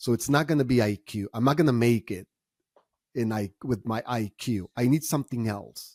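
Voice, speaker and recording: A man with a Spanish accent speaks at a fairly slow pace, medium in pitch with ordinary variation. The sound is dry and close with no echo, on a very clean recording with a silent background. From Mexico, Tijuana. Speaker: entrepreneur and author. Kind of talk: podcast interview.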